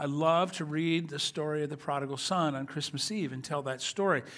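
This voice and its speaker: Fairly even intonation at a fairly quick pace, over a quiet background. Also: man. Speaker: pastor. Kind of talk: sermon. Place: church.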